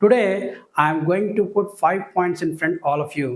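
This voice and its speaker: A man with a Telugu accent speaks at a fairly slow pace. His pitch is high for a man and varies in an ordinary way. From India, Telugu-speaking region. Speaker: school teacher. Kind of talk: lecture. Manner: formal.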